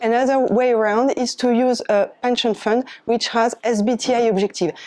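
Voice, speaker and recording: A woman speaks with a French accent at a fairly high pitch. Her intonation is fairly even. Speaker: climate volunteer speaker. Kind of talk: presentation. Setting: eco fair talk with audience.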